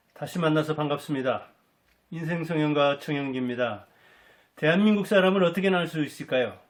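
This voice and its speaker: A man with an unremarkable speaking voice. His pitch sits fairly high, with ordinary variation. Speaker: life coach and commentator on history. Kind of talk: talk-style lecture to camera.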